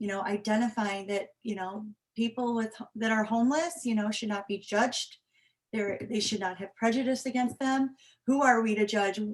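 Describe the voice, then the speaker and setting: A somewhat breathy woman's voice, fairly high, at a moderate pace with fairly even intonation. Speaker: homeless shelter representative. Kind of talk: presentation.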